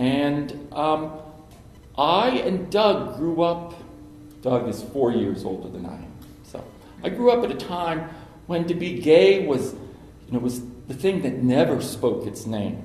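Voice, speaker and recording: With an American accent, the voice makes very wide pitch swings and big swings in loudness, with long, frequent pauses, audible room echo and noticeable background noise. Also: man, fairly high pitch for a man, fairly slow pace. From Cincinnati, Ohio (US Midwest). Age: 60s. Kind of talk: personal talk to an audience.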